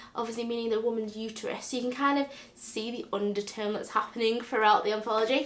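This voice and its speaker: A woman with a Northern English accent speaks at a fairly high pitch. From North West England. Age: 20s. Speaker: book vlogger. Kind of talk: casual book review to camera. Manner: enthusiastic.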